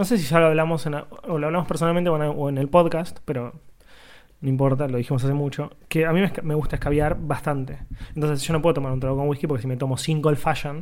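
A man with a Rioplatense accent, a fairly high pitch and fairly even intonation, at a very fast pace. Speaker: podcast co-host. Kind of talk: casual chat.

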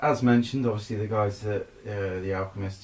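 A man speaks with a somewhat breathy, fairly low voice. His intonation stays fairly even. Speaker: brewer. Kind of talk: casual chat. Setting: sharing one microphone.

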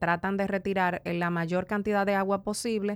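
Against a silent background in a very clean recording, a woman with a Dominican accent talks at a fairly quick pace. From Dominican Republic, east (La Romana, San Pedro de Macorís). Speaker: entrepreneur, hair care brand owner. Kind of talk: interview.

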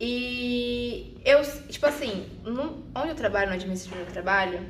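Noticeable background noise and audible room echo fill the recording. A woman speaks at a moderate pace with lively intonation. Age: 20s. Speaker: psychology student and corporate employee. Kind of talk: personal testimony. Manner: halting.

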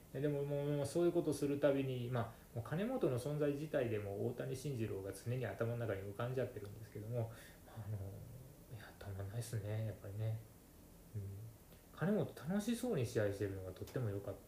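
The speaker is soft-spoken, with ordinary pitch variation, against noticeable background noise. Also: man, medium pitch for a man, fairly quick pace. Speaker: podcast host, wrestling fan. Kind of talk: casual solo monologue.

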